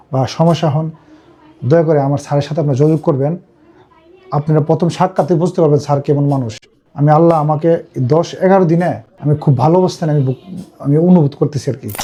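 There is noticeable background noise behind this man. His pitch sits fairly high and his intonation stays fairly even. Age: 30s. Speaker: patient. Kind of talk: testimony.

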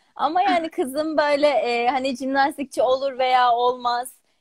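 A woman at a high pitch with ordinary pitch variation and a fairly slow pace, over a quiet background. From Turkey, grew up in Bolu; Turkey. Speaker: gymnast. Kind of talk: interview. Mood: warm, smiling, reflective. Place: home room. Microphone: video call.

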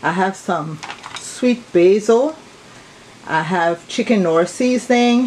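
Against light background noise, the speech moves at a very slow pace. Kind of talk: cooking tutorial. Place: kitchen. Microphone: phone near.

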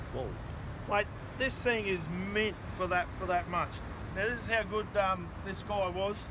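A man's high-pitched voice at a moderate pace, with long, frequent pauses and noticeable background noise. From Australia. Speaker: motorcycle dealer and vlogger. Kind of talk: casual show-and-tell vlog. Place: street.

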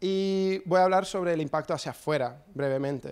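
This man with an English accent talks at a fairly quick pace with fairly even intonation. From US, New Jersey. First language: English (speaking Spanish). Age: 30s. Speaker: skater and photographer; guest. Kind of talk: talk with slides; talk presentation. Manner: hesitant with fillers. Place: hall. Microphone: handheld.

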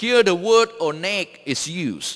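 Over a quiet background, a man speaks fairly slowly in a bright, sharp, high voice with lively intonation. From Malaysia. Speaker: theology professor and seminary president; theology professor. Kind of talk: sermon. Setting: church. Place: church. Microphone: podium.

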